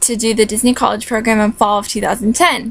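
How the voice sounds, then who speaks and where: A woman talks with an American accent in a fairly high voice. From California. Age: 20s. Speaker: vlogger, recent graduate. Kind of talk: casual vlog. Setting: at home. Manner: casual, many fillers.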